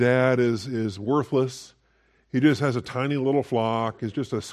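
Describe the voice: With fairly even intonation, someone reads aloud plainly.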